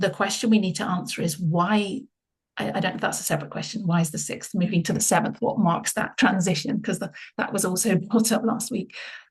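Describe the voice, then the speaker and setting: Ordinary pitch variation and a somewhat breathy sound at a fairly quick pace. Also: woman, medium pitch for a woman. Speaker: Bible study leader. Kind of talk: group Bible study discussion. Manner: fast.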